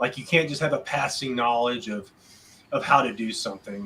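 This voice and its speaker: Against noticeable background noise, a man with a slight Southern US accent talks at a moderate pace and medium pitch, with ordinary pitch variation and big swings in loudness. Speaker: podcast co-host, visual effects artist. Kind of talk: casual chat.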